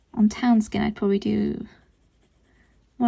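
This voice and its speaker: At a moderate pace, a woman speaks in a somewhat breathy voice with a dark, mellow tone. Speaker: art tutorial creator. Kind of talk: tutorial. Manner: distracted, concentrating while speaking.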